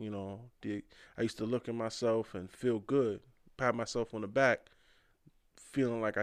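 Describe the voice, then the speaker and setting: Over a quiet background, a man with a normal speaking voice keeps a moderate pace and fairly even intonation. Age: 30s. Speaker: rapper. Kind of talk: casual chat.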